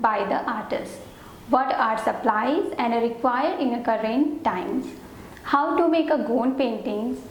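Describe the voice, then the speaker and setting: Noticeable background noise and audible room echo surround this woman's high-pitched voice. She talks at a moderate pace with ordinary pitch variation. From India, Banaras (Varanasi). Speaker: art teacher, student artist. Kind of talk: course introduction. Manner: careful, non-native phrasing.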